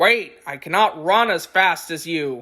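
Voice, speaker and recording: This is a put-on character voice, raspy and at a middle pitch. It moves at a fairly slow pace. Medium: read story.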